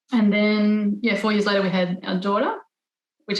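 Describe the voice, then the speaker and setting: A somewhat breathy woman's voice at a medium pitch with an Australian accent, fairly quick in pace and fairly even in intonation. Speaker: environmental lawyer and parent. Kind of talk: podcast interview.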